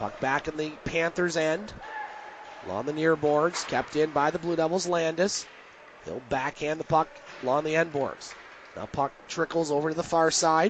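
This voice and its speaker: A man's fairly high voice at a moderate pace with fairly even intonation, amid noticeable background noise. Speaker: radio play-by-play announcer. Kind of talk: live sports play-by-play broadcast.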